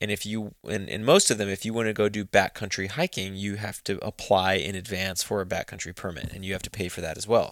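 With a Texan accent, a man speaks at a very fast pace and a fairly low pitch, with hardly any pauses and fairly even intonation, on a very clean recording with a silent background. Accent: Texan American. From Texas. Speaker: hunting magazine co-founder. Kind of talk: interview. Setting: office.

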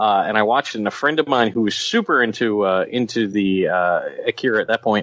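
A man with a medium pitch speaks fairly quickly. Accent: Philadelphia. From Philadelphia. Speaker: podcast co-host. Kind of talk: casual chat.

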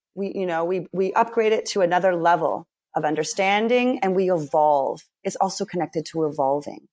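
A woman's unremarkable speaking voice, medium-pitched, at a fairly quick pace with ordinary pitch variation, against a quiet background. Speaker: spiritual teacher and trauma healer. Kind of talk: casual chat.

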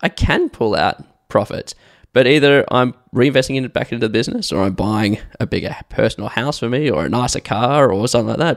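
A man's medium-pitched voice with vocal fry, dry and close with no echo, in a very clean recording against a silent background. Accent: Australian. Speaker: podcast host, business owner. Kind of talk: casual chat.

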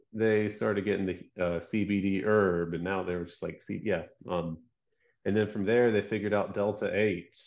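At a moderate pace, a man with an American accent uses an unremarkable speaking voice, fairly low in pitch, with fairly even intonation. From US South, Georgia. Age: 30s. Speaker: product designer and business owner. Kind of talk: casual chat.

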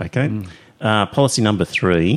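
A man with an Australian accent speaks in a fairly low voice with lively intonation. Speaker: podcast host. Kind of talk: casual panel discussion and interview. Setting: studio, recorded with live stream.

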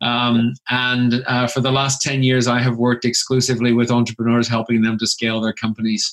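A man of medium pitch at a fairly quick pace, monotone and flat, with very even loudness and hardly any pauses. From Canada. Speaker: chartered accountant and business author. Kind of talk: podcast interview.

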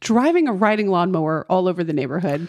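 A normal speaking voice with lively intonation, a dry, close sound with no echo, and a quiet background. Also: woman. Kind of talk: casual chat.

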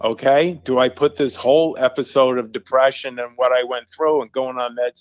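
In an American accent, a man with a medium pitch speaks at a moderate pace with monotone, flat intonation. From US Northeast, Long Island, New York. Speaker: youth services director, storyteller and author. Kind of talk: personal testimony interview.

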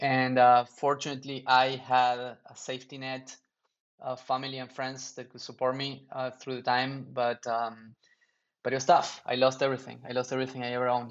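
Speaking in a Spanish accent, a man with a medium pitch keeps a moderate pace and monotone, flat intonation while his loudness swings widely. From Argentina. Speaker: startup founder. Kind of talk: interview.

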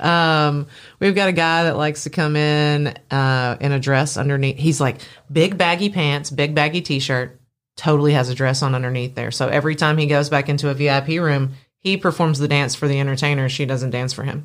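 A woman with a very deep, low pitch talks at a fairly quick pace in a very clean recording with a silent background. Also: fairly even intonation. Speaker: nightlife business owner and event organizer. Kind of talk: casual chat. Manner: talkative.

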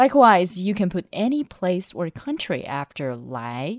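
A woman speaks with a Chinese accent and very wide pitch swings. The sound is dry and close with no echo, over a quiet background. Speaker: Chinese language teacher on radio. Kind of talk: language lesson.

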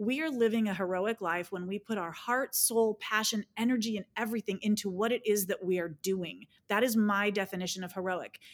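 A woman with an ordinary speaking voice talks at a fairly quick pace and medium pitch, with fairly even intonation. The recording is very clean, dry, and close, with a silent background and no echo. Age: 50s. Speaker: personal development coach and speaker. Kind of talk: interview conversation.

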